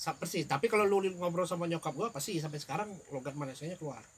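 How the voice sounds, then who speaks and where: A man talks at a very fast pace. His pitch is high for a man, with ordinary variation. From Palembang, Indonesia, childhood in Johor, Malaysia. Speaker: podcast guest, old college friend. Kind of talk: casual chat. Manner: halting.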